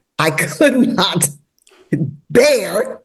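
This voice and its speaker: A woman talks with an American accent. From US, Washington, D.C. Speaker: novelist. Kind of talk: podcast interview.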